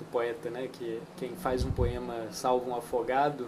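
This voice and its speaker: Very slow speech with a Minas Gerais accent, fairly even intonation and noticeable background noise. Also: man. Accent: Minas Gerais Brazilian Portuguese. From Minas Gerais, Brazil. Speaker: poet. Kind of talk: interview answer. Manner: unhurried, thoughtful, soft.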